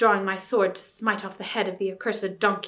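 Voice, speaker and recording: Putting on a growling character voice, a woman talks at a fairly quick pace and medium pitch with monotone, flat intonation. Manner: terrible, menacing.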